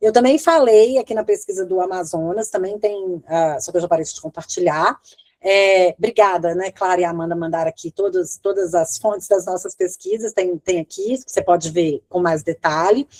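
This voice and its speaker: A woman with an unremarkable speaking voice talks at a moderate pace in a medium pitch with ordinary pitch variation and hardly any pauses. The sound is dry and close, with no echo. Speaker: law professor and research clinic coordinator. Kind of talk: lecture Q&A.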